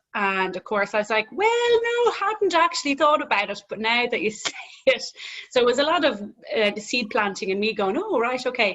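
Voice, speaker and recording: A woman with a Dublin accent, high in pitch with very wide pitch swings, at a moderate pace. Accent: Irish, Dublin. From Ireland, Dublin. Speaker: gym owner. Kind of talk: casual interview chat.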